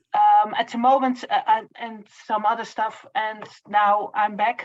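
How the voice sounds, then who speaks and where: A woman with a Dutch accent speaks at a fairly slow pace in a fairly high pitch. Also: fairly even intonation. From Netherlands. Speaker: social worker. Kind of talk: self-introduction in online meeting. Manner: halting, many fillers.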